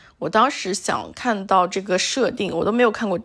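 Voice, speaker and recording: A woman speaks with a slight northeastern Chinese accent. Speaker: solo podcaster. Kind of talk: casual monologue. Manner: relaxed, with many fillers.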